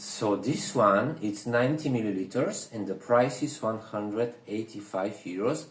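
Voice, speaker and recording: A man at medium pitch and a fairly slow pace, with noticeable background noise and audible room echo. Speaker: perfume reviewer. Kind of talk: casual review chat. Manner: whispering.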